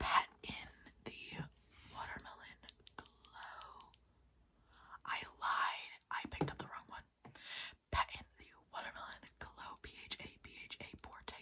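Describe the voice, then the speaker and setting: Whispering comes at a very slow pace, broken by long, frequent pauses. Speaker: ASMR creator. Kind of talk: ASMR unboxing, whispered talk to camera. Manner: whispered, soft. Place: home room. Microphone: phone near.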